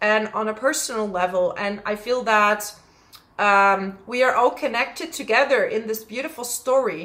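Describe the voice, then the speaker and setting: A woman with a Dutch accent speaks in a bright, sharp tone at a fairly high pitch. Her pace is moderate and her pitch varies in an ordinary way. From Netherlands. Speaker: astrologer. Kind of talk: astrology forecast monologue. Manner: casual, with frequent fillers.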